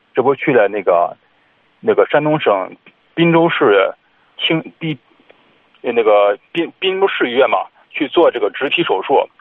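The speaker is a man. He talks at a moderate pace. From Shandong (Zibo). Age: 30s. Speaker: caller. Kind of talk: phone-in advice call. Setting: phone call.

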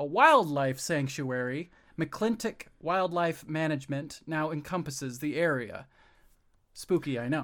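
A normal speaking voice from a man, fairly high-pitched and fairly slow, with ordinary pitch variation on a very clean recording with a silent background. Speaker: co-host. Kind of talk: casual comedic podcast chat.

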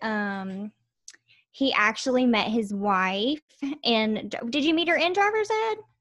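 The recording is very clean, with a silent background. A woman with a Southern US accent talks at a fairly slow pace in a fairly high pitch with ordinary pitch variation. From Alabama. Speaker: video marketer and cooking YouTuber. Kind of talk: casual chat.

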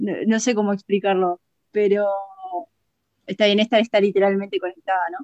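Heard dry and close with no echo, a woman speaks at a medium pitch and fairly quick pace in a monotone, flat intonation, with long, frequent pauses and big swings in loudness. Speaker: podcast co-host. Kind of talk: casual chat.

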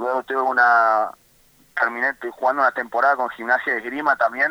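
An Argentine accent at a moderate pace, with fairly even intonation and a dry, close sound with no echo. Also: man. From Argentina, Comodoro Rivadavia (Patagonia). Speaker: professional basketball player. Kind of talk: phone interview. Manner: halting, many repetitions.

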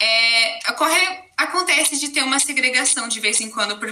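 The speaker uses lively intonation at a moderate pace. Noticeable background noise is present. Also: woman. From Brazil, Campinas area (São Paulo interior). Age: 20s. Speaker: university student, podcast guest. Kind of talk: interview conversation.

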